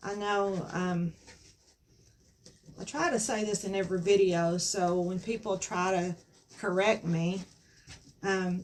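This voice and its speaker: A fairly slow pace, fairly even intonation, and long, frequent pauses. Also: woman. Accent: Southern US. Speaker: craft youtuber. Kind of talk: craft tutorial. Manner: halting, frequent um.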